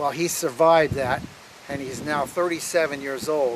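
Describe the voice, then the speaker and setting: Noticeable background noise behind speech of fairly even intonation. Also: man. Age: 60s. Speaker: former ship electronics technician. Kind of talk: personal reminiscence. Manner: hesitant, with fillers.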